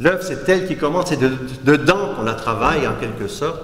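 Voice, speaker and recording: A man with a Quebec accent talks at a moderate pace and a fairly high pitch. Noticeable background noise and audible room echo surround him. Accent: Québécois French. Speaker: art critic and philosopher. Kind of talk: lecture. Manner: halting, with frequent restarts.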